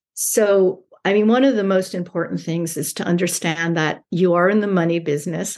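With an American accent, a woman talks at a moderate pace in an unremarkable speaking voice, fairly low in pitch, with ordinary pitch variation. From New York. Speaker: e-commerce brand owner. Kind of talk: interview.

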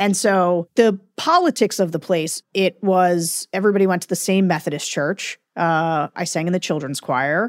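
In an ordinary speaking voice, a woman with an American accent talks at a moderate pace with hardly any pauses, her pitch fairly low with ordinary variation. The recording is very clean, dry and close with no echo, over a silent background. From central Pennsylvania, rural Perry County. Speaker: Republican political strategist. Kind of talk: interview conversation.

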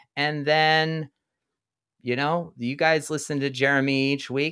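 A normal speaking voice moves at a fairly slow pace in a very clean recording with a silent background. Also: man. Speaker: podcast producer. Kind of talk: casual chat.

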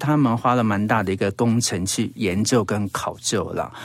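A man speaks with a Taiwanese accent. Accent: Taiwanese Mandarin. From Taiwan, Hsinchu (Zhudong), Hakka. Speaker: radio host and travel writer. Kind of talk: casual interview. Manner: animated.

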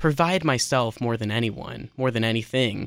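The speaker, a man, talks at a moderate pace and a medium pitch. He has a plain, everyday voice. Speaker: musician. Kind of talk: casual radio interview. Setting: radio studio.

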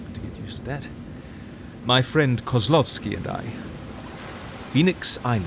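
Over noticeable background noise, a man speaks at medium pitch and a moderate pace. His intonation is lively. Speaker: fictional character narrator. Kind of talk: scripted fiction, epistolary letter narration. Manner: intimate, wistful, musing; wry, animated, self-correcting.

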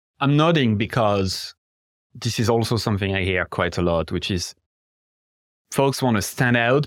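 A man speaks at a moderate pace with a French accent and a fairly low pitch. The recording is very clean, with a silent background. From France. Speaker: podcast host. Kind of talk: podcast interview.

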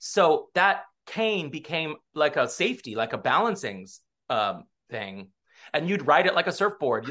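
With an American accent and a bright, sharp tone, the voice moves at a moderate pace through very wide pitch swings, vocal fry, and long, frequent pauses, over a quiet background. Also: man, fairly high pitch for a man. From US West Coast (Southern California). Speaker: stage actor. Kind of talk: casual interview.

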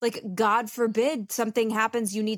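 In a very clean recording with a silent background and a dry, close sound with no echo, a woman with a plain, everyday voice speaks at a moderate pace and a fairly high pitch. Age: 30s. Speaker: podcast co-host. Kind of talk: casual chat.

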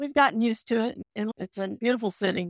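Recorded very cleanly against a silent background, a woman with an American accent speaks in a plain, everyday voice at a fairly high pitch. Her moderate pace comes through dry and close, with no echo. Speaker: parent of a heart patient. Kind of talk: casual chat.

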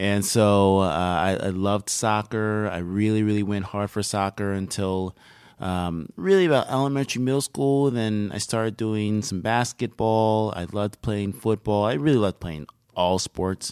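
A man's fairly low voice at a moderate pace with ordinary pitch variation, an ordinary speaking voice, on a very clean recording with a silent background. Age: 30s. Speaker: fitness center director. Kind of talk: casual interview. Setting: studio.

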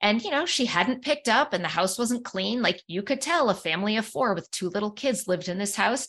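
Lively intonation runs through a normal speaking voice that moves at a fairly quick pace with hardly any pauses. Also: woman, fairly high pitch for a woman. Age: 50s. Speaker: psychologist and author. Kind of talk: interview conversation.

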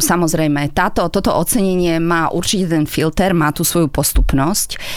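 Fairly low in pitch, a woman talks at a moderate pace in an unremarkable speaking voice. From Slovakia, Žilina. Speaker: German teacher. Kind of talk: radio interview.

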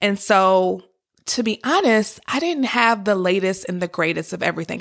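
Speaking at a moderate pace with an American accent, a woman has a medium pitch, ordinary pitch variation and an animated tone. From Detroit area, Michigan. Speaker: podcast host, wealth coach. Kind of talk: personal story monologue. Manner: conversational, casual.

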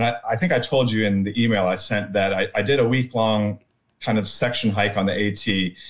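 With an unremarkable speaking voice, a man speaks at a moderate pace and fairly low pitch, his intonation fairly even. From US South, North Carolina (Durham). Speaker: backpacker and theologian. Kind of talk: casual chat.

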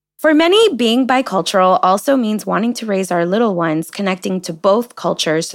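A woman speaks at a medium pitch with lively intonation. Her pace is fairly quick. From United States. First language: Spanish. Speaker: podcast host. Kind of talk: casual chat, podcast interview.

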